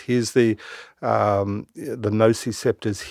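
Against a quiet background, a man with an Australian accent talks at a medium pitch. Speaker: doctor. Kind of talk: interview. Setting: studio.

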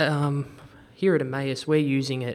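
A man with an American accent speaks at a medium pitch and a moderate pace. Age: 20s. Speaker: science teacher. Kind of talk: interview. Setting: at the school.

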